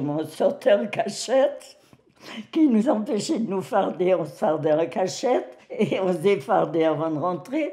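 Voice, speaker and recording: Her pitch is medium for a woman, with very wide swings. The woman speaks at a fairly slow pace. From Algeria (French Algiers). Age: 90s. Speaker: elderly woman sharing life story. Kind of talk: personal testimony interview. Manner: halting with hesitations.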